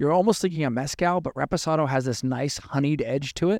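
An ordinary speaking voice from a man with a General American accent, fairly high in pitch for a man and lively in intonation, in a very clean recording with a silent background and dry, close sound with no echo. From US. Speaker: bartender and podcast host. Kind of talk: casual chat podcast. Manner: jokey, playful.

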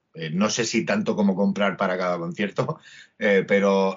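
At a fairly slow pace, a man speaks with fairly even intonation in a very deep, low pitch. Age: 40s. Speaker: musician. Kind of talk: casual chat interview.

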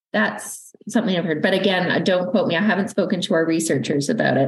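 Audible room echo surrounds a woman's voice. Her intonation is lively. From Canada. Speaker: university research funding manager. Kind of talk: interview.

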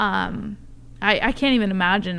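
A woman with a plain, everyday voice talks at a moderate pace, her pitch medium and her intonation fairly even. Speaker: podcast host. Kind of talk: casual interview chat.

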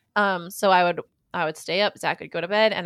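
The recording is very clean, with a silent background and a dry, close sound with no echo. A woman talks at a fairly quick pace in an American accent, medium in pitch, with a plain, everyday voice. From Minnesota, later California Bay Area. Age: 30s. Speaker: mom and content creator. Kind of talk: casual chat.

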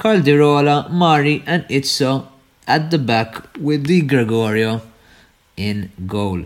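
Speaking at a very slow pace, a man uses lively intonation. His pitch is fairly high. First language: not English. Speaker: football podcast co-host. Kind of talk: casual chat.

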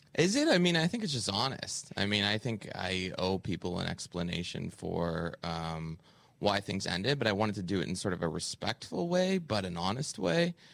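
A man with a Canadian accent and a normal speaking voice talks at a fairly low pitch and moderate pace, with lively intonation and hardly any pauses. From Canada. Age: 30s. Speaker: comedian, podcaster and author. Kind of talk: interview.

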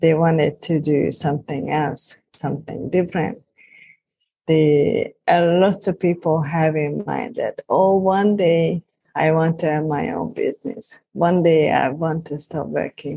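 With a Hungarian accent, this somewhat breathy voice has a dark, mellow tone, ordinary pitch variation and a fairly slow pace. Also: woman, fairly low pitch for a woman. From Hungary. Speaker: life and business coach. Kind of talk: interview.

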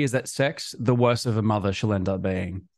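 The recording is dry and close with no echo, capturing a man who speaks with an Australian accent. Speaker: musician and content creator. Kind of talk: podcast interview.

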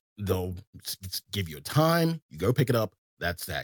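Vocal fry in a Southern US accent, at a moderate pace, with a dry, close sound and no echo. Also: man. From US South. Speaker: game streamer. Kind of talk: casual chat.

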